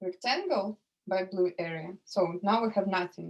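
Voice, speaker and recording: A woman speaks with a Russian accent at a fairly slow pace. Her pitch is medium, with ordinary variation. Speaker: economics tutor. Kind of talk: lecture. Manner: halting.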